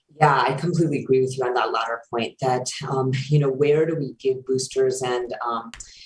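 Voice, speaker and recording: A woman's very deep, low voice, fairly quick with hardly any pauses and flat monotone intonation, over noticeable background noise. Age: 50s. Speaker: infectious disease doctor. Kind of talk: expert Q&A on a call-in podcast.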